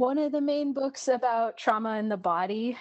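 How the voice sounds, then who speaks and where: Against a quiet background, a woman with an American accent talks in an unremarkable speaking voice. Her pitch variation is ordinary and her pace fairly slow. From Washington State, US. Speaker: therapist. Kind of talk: casual chat, interview.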